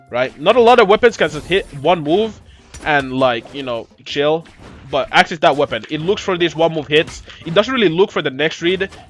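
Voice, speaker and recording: With music in the background, a man with a fairly high pitch talks with lively intonation. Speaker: video game coach. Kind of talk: tutorial while playing. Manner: fast; casual, filler-heavy.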